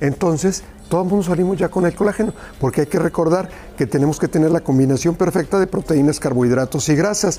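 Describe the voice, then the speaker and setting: The pace is very fast. Music plays in the background. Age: 50s. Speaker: nutrition and cooking presenter. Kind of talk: sales pitch. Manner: animated.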